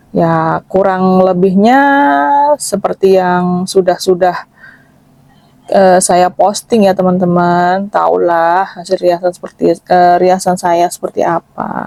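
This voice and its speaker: A woman speaks at a very slow pace and medium pitch with a dark, mellow tone, in a monotone, flat intonation. Her loudness is very even, and the sound is dry and close with no echo. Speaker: makeup artist. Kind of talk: voiceover narration for makeup vlog. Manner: casual, chatty with fillers.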